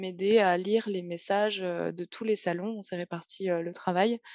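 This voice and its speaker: A woman talks at a moderate pace with fairly even intonation and a dark, mellow tone. The sound is dry and close with no echo, over a quiet background. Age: 20s. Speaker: translator. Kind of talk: interview. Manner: hesitant, many fillers.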